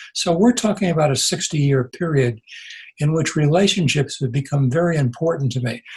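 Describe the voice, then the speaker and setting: Somewhat breathy, a man talks at a fairly high pitch with ordinary pitch variation. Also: fairly quick pace. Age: 80s+. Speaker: retired pastor and author. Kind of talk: interview conversation. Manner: halting, with repetitions.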